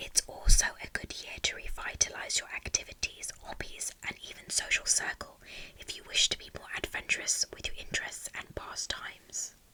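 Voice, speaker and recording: A whisper at a moderate pace, with noticeable background noise behind it. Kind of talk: ASMR whispered horoscope reading. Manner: whispered, soft, relaxing.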